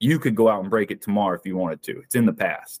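Here a man speaks in a Southern US accent at a medium pitch. The sound is dry and close with no echo, and his pitch varies in an ordinary way. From US South, South Carolina. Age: 30s. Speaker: endurance athlete and business owner. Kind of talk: interview.

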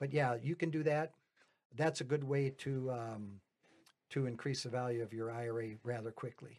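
Here a man with a normal speaking voice talks at a medium pitch and moderate pace, with fairly even intonation. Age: 60s. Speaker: retired auto worker turned real estate investor. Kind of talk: casual podcast interview. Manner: rambling, self-correcting.

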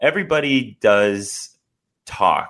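In a very clean recording with a silent background, a man with an American accent swings his pitch very widely. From US Midwest (Northeast Ohio, Akron). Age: 30s. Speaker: reality TV contestant. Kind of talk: interview. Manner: halting.

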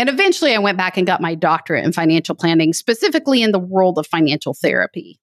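A woman with a Texan accent talks very fast, her pitch swinging very widely. The sound is dry and close, with no echo. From West Texas. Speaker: financial planning educator. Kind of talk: casual interview chat.

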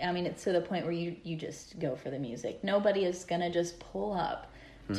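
A woman speaks in a normal speaking voice at a fairly quick pace. Her fairly low pitch shows ordinary variation. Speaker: guest. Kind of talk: casual chat.

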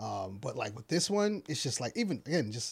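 His voice comes out somewhat breathy. The man talks at a fairly quick pace. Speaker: podcast host. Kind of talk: casual chat.

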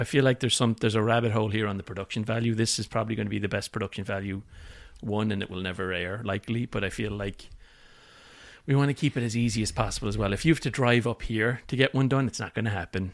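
A man with an Irish accent, fairly low pitch and fairly even intonation at a very fast pace, on a very clean recording with a silent background. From Ireland, Limerick. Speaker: podcast co-host, product manager. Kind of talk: casual chat.

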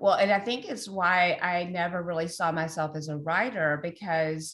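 Against a quiet background, a woman with a plain, everyday voice talks at a moderate pace, her fairly low pitch showing ordinary pitch variation. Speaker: author and researcher. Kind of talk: casual interview conversation.

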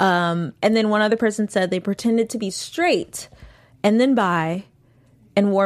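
Here is a woman with a medium pitch and ordinary pitch variation, an ordinary speaking voice. The recording is very clean, with a silent background. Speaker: after-show host. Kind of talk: casual chat discussing a TV episode.

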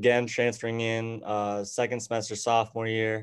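Over a quiet background, a man with an American accent speaks at a medium pitch in a monotone, flat way and at a fairly slow pace. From Arizona (Tucson). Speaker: college golfer. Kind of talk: casual interview.

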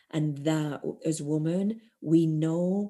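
In a non-native accent, a woman speaks in a very deep, low voice with a dark, mellow tone over a quiet background. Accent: non-American accent, noticeable on some words. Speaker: spiritual teacher and shamanic practitioner. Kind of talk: interview, spiritual teaching. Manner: hesitant, many fillers and repeats.

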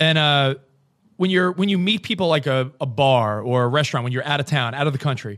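Delivered in an unremarkable speaking voice with an American accent, the speech moves at a fairly quick pace with lively intonation. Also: man. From New York. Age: 40s. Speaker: satellite radio host. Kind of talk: casual chat. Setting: video call.

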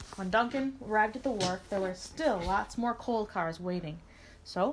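A natural voice reads the passage aloud.

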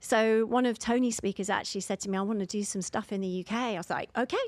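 A woman's very fast speech with a London accent, fairly high pitch and fairly even intonation. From London, England. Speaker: divorce coach. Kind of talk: interview.

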